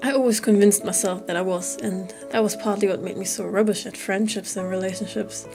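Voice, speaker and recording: Over music in the background, a woman speaks at a medium pitch and a fairly quick pace with monotone, flat intonation. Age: 20s. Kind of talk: personal vlog voiceover. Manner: candid, reflective.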